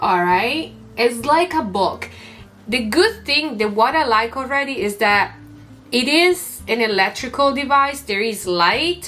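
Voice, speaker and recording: A woman speaks with a non-native accent, high-pitched and animated, with lively intonation. Her pace is fairly slow, and music plays in the background. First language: not English. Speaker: YouTuber and streamer. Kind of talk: unboxing tutorial.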